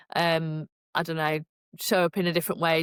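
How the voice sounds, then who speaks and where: In a Yorkshire accent, a woman with a fairly low pitch talks at a moderate pace in a monotone, flat way, the sound dry and close with no echo. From Yorkshire, northern England. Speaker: podcast co-host. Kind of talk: casual chat.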